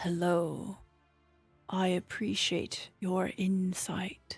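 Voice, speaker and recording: A female-sounding voice uses a gravelly put-on character voice at a medium pitch. She speaks very slowly over faint background music. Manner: slow, deliberate.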